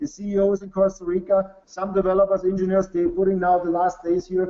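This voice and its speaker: With a German accent, a man speaks in a high pitch at a moderate pace, his intonation monotone and flat. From Bavaria, Germany. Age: 40s. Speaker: business executive. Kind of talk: sales pitch. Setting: webinar. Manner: halting.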